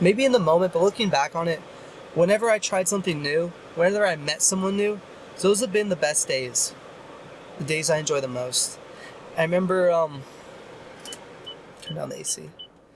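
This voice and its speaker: A man's high-pitched, fairly quick speech with long, frequent pauses, ordinary pitch variation and noticeable background noise. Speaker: YouTuber. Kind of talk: casual vlog monologue. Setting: in a car. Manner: loud.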